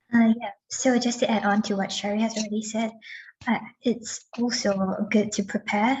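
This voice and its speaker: Somewhat breathy delivery at a moderate pace, in a monotone, flat intonation. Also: woman. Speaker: PhD fellow. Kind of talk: panel advice.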